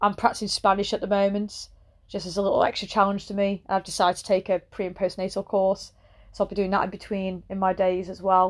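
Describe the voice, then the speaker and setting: At a very fast pace, a woman with an English accent speaks at medium pitch in monotone, flat intonation, her loudness swinging widely over a quiet background. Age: 30s. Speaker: personal trainer. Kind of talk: solo podcast monologue. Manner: casual, conversational.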